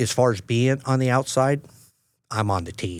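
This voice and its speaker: The pace is fairly slow, with ordinary pitch variation. The recording is very clean, over a silent background. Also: man. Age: 60s. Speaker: journeyman lineman and rodeo coach. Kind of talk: podcast interview. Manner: halting.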